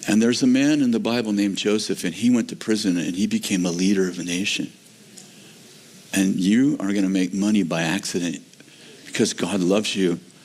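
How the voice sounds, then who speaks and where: A man with a fairly low pitch talks at a fairly quick pace with ordinary pitch variation. Noticeable background noise runs behind him. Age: 70s. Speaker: pastor. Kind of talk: sermon. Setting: church.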